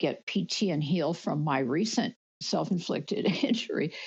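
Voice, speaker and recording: A woman's somewhat breathy, fairly low voice with very wide pitch swings, at a moderate pace. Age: 70s. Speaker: workshop participant, former lawyer. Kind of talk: group discussion.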